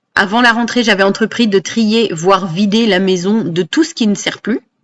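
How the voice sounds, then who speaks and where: A plain, everyday voice from a woman, medium in pitch with ordinary pitch variation, at a moderate pace in a dry, close sound with no echo. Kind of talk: personal voice-over narration.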